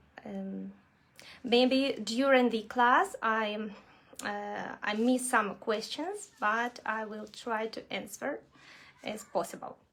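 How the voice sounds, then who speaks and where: Speaking at a very slow pace with a strong Russian accent, a woman holds a fairly high pitch with ordinary pitch variation. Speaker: nail art instructor. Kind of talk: live online tutorial. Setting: livestream video class. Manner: halting, many fillers.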